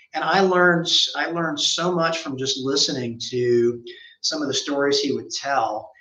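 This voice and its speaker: Recorded with audible room echo, a man with an American accent talks at a moderate pace with ordinary pitch variation. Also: fairly high pitch for a man. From US South, Memphis, Tennessee. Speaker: accounting firm managing partner. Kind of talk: interview.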